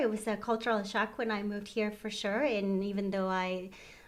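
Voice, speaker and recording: A woman with a Mexican accent speaks at a moderate pace. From Mexico. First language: Spanish. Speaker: retirement home manager. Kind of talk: interview.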